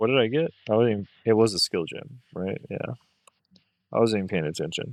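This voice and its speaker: A soft-spoken man talks at a fairly quick pace and a medium pitch. His intonation is lively, and the sound is dry and close with no echo. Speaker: gaming streamer. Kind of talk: live gameplay commentary. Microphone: mic a little far away, quiet.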